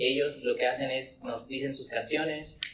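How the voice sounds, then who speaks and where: A man talks with a fairly high pitch. Room echo is audible, and background noise is noticeable. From Coatzacoalcos, Veracruz, Mexico. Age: 20s. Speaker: musician. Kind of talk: casual chat.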